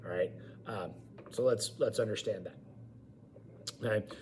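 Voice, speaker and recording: A man speaks loudly with lively intonation. Audible room echo and noticeable background noise come through. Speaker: college government instructor and high school teacher. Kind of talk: online lecture. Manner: informal.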